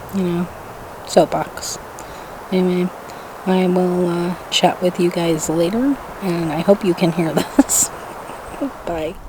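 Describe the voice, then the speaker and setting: A soft-spoken woman talks at a fairly low pitch and a very slow pace, with long, frequent pauses. Her intonation is fairly even, and background noise is noticeable. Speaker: vlogger. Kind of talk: casual vlog talk to camera. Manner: quiet, soft-spoken.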